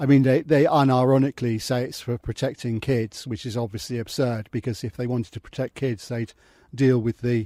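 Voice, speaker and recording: A man's dark, mellow voice with an English accent, fairly quick in pace and fairly even in intonation, in a dry, close sound with no echo. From England. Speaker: expat entrepreneur. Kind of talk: casual talk to camera.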